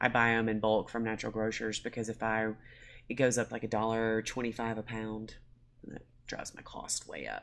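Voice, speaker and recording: A woman with a Southern US accent talks at a fairly quick pace in a very deep, low pitch with vocal fry. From US South, Mississippi. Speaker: small food business owner. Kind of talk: casual chat.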